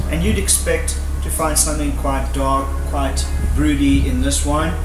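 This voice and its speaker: Moderate-paced speech with clear music in the background. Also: man. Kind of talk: tasting presentation. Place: open country.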